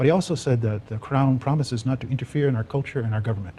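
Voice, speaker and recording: With a dark, mellow tone and a somewhat breathy quality, a man talks at a very fast pace with ordinary pitch variation. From Six Nations (Haudenosaunee), Ontario. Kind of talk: panel discussion. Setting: TV studio. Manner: hesitant, many fillers.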